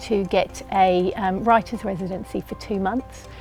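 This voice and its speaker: Over background music, a woman with a New Zealand accent speaks at a moderate pace with ordinary pitch variation. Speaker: poet and writer. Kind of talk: interview answer.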